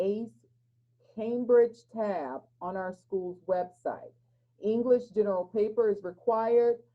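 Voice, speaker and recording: Delivered at a fairly slow pace with fairly even intonation, this is a normal speaking voice. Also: woman. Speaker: school counselor. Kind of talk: presentation.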